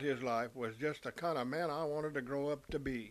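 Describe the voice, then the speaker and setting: A fairly high-pitched male voice with a Texan accent at a moderate pace. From US South, Texas Panhandle. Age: 70s. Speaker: storyteller. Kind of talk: first-person storytelling.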